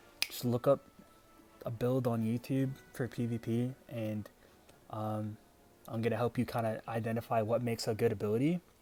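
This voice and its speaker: With music in the background, a man of medium pitch speaks at a moderate pace, leaving long, frequent pauses. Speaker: gaming video creator. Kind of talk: unscripted tutorial. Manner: stuttering; casual, hesitant with fillers.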